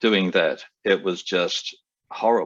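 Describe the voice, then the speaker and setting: A man with an Australian accent. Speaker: airline pilot and stuttering advocate. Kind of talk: interview. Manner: halting, many fillers.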